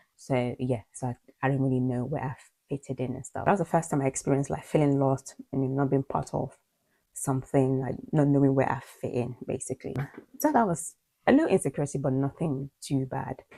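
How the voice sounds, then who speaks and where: A woman with a slight Nigerian accent talks at a fairly quick pace with fairly even intonation. Her voice is very deep and low, with a dark, mellow tone. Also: dry, close sound with no echo. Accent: slight Nigerian twang in British English. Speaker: video blogger. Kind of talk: personal vlog monologue. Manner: fast.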